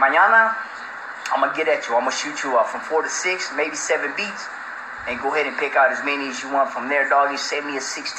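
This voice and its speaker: Noticeable background noise accompanies a man talking at a very fast pace with ordinary pitch variation. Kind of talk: casual phone chat. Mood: laughing, boastful, amused. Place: home room.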